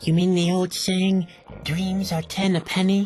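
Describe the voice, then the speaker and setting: This is a put-on character voice at a middle pitch. Its intonation is monotone and flat. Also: moderate pace. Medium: video game. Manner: mopey, sarcastic.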